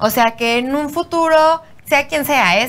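The voice carries a Mexican accent. Its pitch variation is ordinary. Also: woman. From Mexico. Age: young. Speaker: podcast host. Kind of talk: casual chat; show intro and outro.

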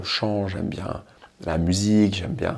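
A man's fairly low voice at a very slow pace. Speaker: motivational podcaster. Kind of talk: solo monologue. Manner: animated; improvised.

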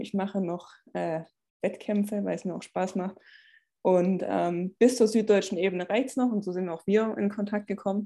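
Against a quiet background, a woman with a slight Swabian accent speaks at medium pitch and a moderate pace, her tone dark and mellow and her intonation fairly even. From Swabia, Stuttgart area. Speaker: personal trainer and former track athlete. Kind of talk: podcast interview.

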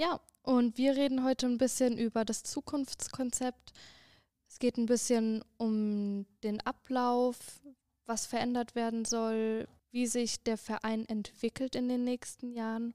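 The woman speaks at a high pitch in a dark, mellow tone, with monotone, flat intonation. Her pace is very slow, and the sound is dry and close with no echo. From Frankfurt, Germany. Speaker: student podcast co-host. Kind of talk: podcast interview.

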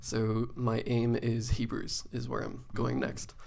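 This man talks with an Irish accent at a medium pitch. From Ireland. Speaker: youth pastor. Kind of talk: casual chat. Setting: studio.

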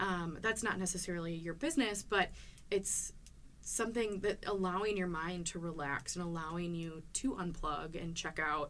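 A woman's unremarkable speaking voice, fairly low in pitch, at a moderate pace with ordinary pitch variation. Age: 20s. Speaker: podcast co-host, community manager. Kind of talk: interview conversation.

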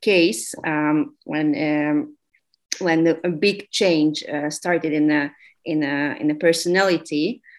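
Speaking in a Hungarian accent, a woman uses a fairly low pitch and fairly even intonation. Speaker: sociologist. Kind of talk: interview. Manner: halting, many fillers and repetitions.

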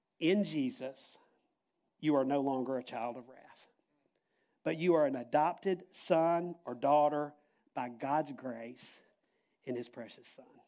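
Speaking at a fairly slow pace with long, frequent pauses, a man uses a fairly high pitch and a dark, mellow tone, with ordinary pitch variation and big swings in loudness. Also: very clean recording, silent background. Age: 60s. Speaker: pastor. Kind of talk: sermon.

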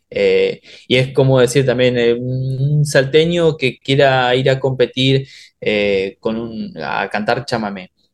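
Music plays in the background as a man speaks at a very slow pace. His medium pitch shows ordinary pitch variation. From Oberá, Misiones, Argentina. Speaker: bandoneon player, musician. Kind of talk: casual interview chat.

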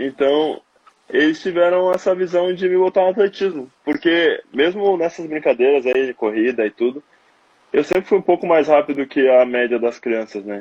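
Lively intonation marks this man's delivery at a moderate pace. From southern Brazil, Porto Alegre. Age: 20s. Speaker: long jump athlete. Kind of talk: interview testimony. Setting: Instagram live video call.

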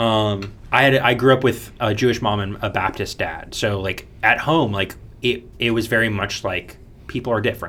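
A man with an American accent speaks at a medium pitch in a bright, sharp tone with fairly even intonation. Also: moderate pace. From US, Florida (Orlando). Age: 20s. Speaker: mechanical engineering graduate. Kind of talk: casual chat.

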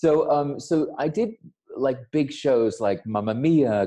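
With an American accent, a man speaks in a dark, mellow tone and lively intonation. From United States. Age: 40s. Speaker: designer. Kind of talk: casual chat. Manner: animated.

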